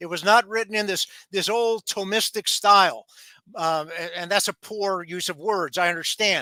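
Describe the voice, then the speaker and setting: On a very clean recording with a silent background and a dry, close sound with no echo, a man with a high pitch uses a raised, projected voice in a bright, sharp tone, speaking at a moderate pace with ordinary pitch variation. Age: 60s. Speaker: lawyer and author. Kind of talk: interview. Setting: live stream. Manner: halting.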